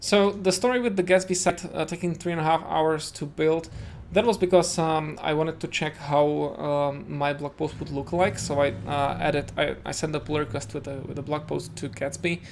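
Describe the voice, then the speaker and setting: A man's fairly high voice with a Czech accent and ordinary pitch variation. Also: moderate pace, hardly any pauses. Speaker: web developer streamer. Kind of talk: live coding tutorial. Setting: home. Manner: hesitant, many fillers.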